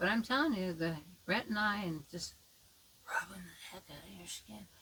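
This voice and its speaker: At a moderate pace, a woman with a bright, sharp tone and medium pitch speaks with lively intonation, vocal fry, and big swings in loudness. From United States. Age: 70s. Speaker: makeup tutorial vlogger. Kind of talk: tutorial; casual chat. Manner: rambling, halting.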